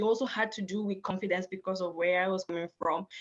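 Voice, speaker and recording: A woman speaks with a strong African accent. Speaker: panelist. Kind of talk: panel discussion.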